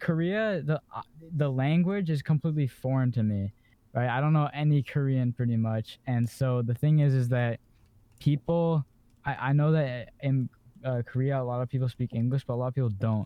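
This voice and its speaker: Speaking at a moderate pace in a medium pitch, a man uses an unremarkable speaking voice with ordinary pitch variation. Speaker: podcast co-host. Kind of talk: casual chat.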